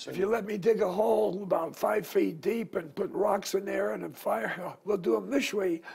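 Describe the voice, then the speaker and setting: A man talks with hardly any pauses against noticeable background noise. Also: moderate pace. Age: 80s+. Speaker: small business owner. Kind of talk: interview answer.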